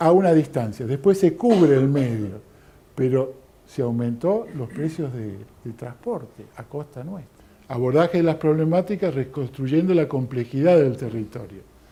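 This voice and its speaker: Somewhat breathy and dark, mellow in tone, a man speaks fairly slowly at a fairly high pitch with lively intonation. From Argentina. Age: 60s. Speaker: lecturer. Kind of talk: lecture. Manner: halting, many fillers.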